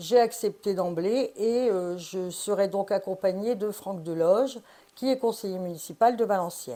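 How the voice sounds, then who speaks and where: Speaking at a fairly slow pace, a woman has a plain, everyday voice, medium in pitch with ordinary pitch variation. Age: 60s. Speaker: parliamentary candidate. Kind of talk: interview.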